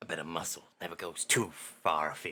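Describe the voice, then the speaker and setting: A man speaks. He uses a put-on character voice. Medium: actual play. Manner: folksy, blunt, informal.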